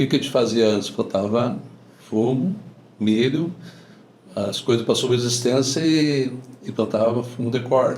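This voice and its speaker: This man's voice is somewhat breathy and medium in pitch. His pace is moderate. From southern Brazil, Rio Grande do Sul (Lagoa Bonita do Sul). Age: 60s. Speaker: farmer. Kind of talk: casual interview.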